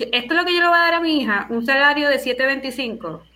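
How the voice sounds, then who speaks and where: A woman speaks at a moderate pace. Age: 30s. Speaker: teacher and doctoral student. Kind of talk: casual panel discussion. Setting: Skype call.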